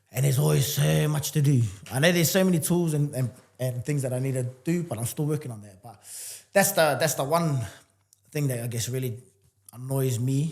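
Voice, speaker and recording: Somewhat breathy and animated, the speaker moves at a fairly quick pace with big swings in loudness and long, frequent pauses, on a very clean recording with a silent background. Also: man, fairly high pitch for a man, ordinary pitch variation. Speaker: entrepreneur and fitness coach. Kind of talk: casual interview chat. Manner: fast.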